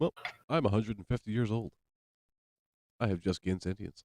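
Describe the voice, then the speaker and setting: Using a put-on character voice, a man talks very fast. His pitch is fairly low. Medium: actual play.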